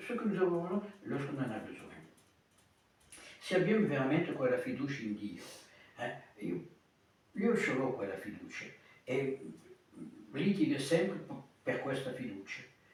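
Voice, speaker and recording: A man talks at a fairly slow pace, high-pitched for a man, with long, frequent pauses. The recording has noticeable background noise and audible room echo. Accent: Italian. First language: Italian (speaking French). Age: 70s. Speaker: priest. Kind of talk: sermon. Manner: halting.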